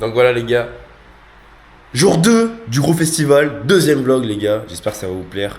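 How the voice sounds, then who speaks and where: Recorded with audible room echo, a man of medium pitch talks at a moderate pace with lively intonation, big swings in loudness, and long, frequent pauses. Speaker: vlogger. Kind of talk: casual vlog chat.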